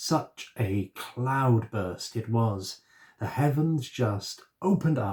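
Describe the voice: Lively intonation over plain reading aloud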